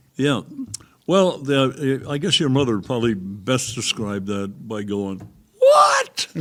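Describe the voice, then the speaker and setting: This man speaks at a medium pitch with lively intonation. His pace is very slow. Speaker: retired businessman, father. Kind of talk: casual interview. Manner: halting.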